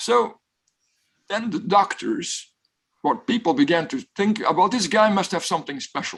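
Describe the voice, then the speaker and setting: Against a quiet background, a man with a Flemish accent talks at a moderate pace in a high pitch, making very wide pitch swings and taking long, frequent pauses. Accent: Belgian (Flemish) English. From Belgium. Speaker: professor. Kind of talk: guest talk with Q&A.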